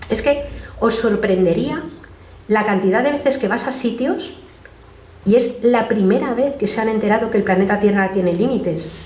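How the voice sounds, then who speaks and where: Pausing long and often, a woman with a fairly high voice and ordinary pitch variation speaks amid audible room echo and noticeable background noise. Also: moderate pace. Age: 60s. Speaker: activist and speaker. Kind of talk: public talk Q&A. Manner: halting, many self-corrections.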